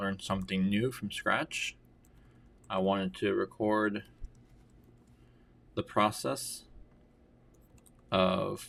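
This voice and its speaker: On a very clean recording with a silent background, a man speaks at a very slow pace. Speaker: software developer and YouTuber. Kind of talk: coding tutorial livestream-style narration. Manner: halting.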